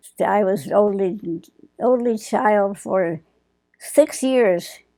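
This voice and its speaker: A woman speaks very slowly with an Upper Midwest accent. Her pitch is medium and her tone is dark and mellow. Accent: Upper Midwest American. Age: 80s+. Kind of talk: interview answer.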